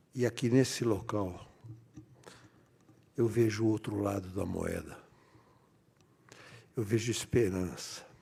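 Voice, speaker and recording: Very slowly, a man speaks in a fairly low, somewhat breathy voice with a dark, mellow tone. His intonation stays fairly even, and long pauses come often. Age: 80s+. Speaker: politician. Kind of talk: ceremonial speech.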